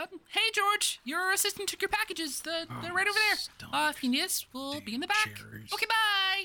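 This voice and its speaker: A female-sounding, put-on character voice rises to an extremely high pitch. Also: moderate pace. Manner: loud, hurried, brisk.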